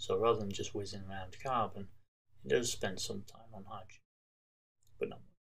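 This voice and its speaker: There is audible room echo as a man speaks. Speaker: chemistry teacher. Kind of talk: tutorial. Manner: casual, with frequent fillers and restarts.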